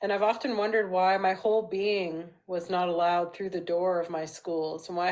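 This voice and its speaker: With a Canadian accent, a woman speaks at a fairly quick pace in a fairly low pitch with fairly even intonation, against a quiet background. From Vancouver, Canada. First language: Portuguese. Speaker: educator and family counselor. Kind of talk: recorded presentation.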